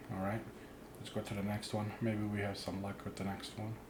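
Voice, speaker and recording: A man at a fairly slow pace, with audible echo from the room. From immigrant, grew up abroad. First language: not English. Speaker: card opening YouTuber. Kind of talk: pack opening commentary. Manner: casual.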